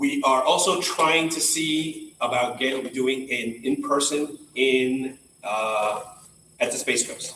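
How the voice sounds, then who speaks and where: A man's fairly high-pitched voice over noticeable background noise. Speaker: professional association chapter leader. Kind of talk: meeting welcome announcements. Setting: in-person meeting, live streamed. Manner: loud; casual, filler-heavy.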